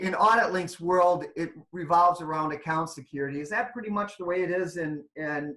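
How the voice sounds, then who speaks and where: The speaker hardly pauses, and the background is quiet. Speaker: software trainer. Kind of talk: webinar training. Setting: online webinar. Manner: loud. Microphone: video call.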